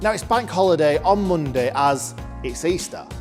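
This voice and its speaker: Over music in the background, a man with a fairly high voice speaks at a moderate pace in an upbeat tone, his pitch swinging very widely. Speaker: auction company presenter. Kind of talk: upbeat promotional talk to camera.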